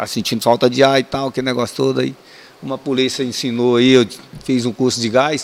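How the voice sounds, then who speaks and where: The man keeps a medium pitch. His speed is moderate. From Brazil, Ceará; raised in Ceilândia, Brasília. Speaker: retired military police sergeant. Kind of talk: casual storytelling interview. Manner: animated.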